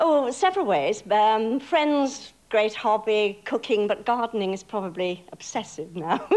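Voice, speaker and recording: Lively intonation marks this speech with a slight Bristol accent. The pace is fairly slow, with hardly any pauses. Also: woman, fairly high pitch for a woman. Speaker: stage actress. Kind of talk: tv interview.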